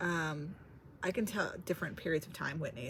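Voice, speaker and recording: A woman talks at a moderate pace. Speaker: vlogger. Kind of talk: casual vlog monologue. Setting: library. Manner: quiet; hesitant, filler-heavy.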